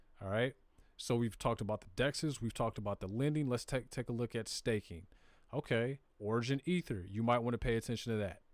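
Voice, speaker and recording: In a very clean recording with a silent background and a dry, close sound free of echo, a man with an American accent talks at a very fast pace in a medium pitch with ordinary pitch variation. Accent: Southern US, comes out at times. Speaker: crypto live streamer. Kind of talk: live stream tutorial. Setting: live stream. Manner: casual, conversational.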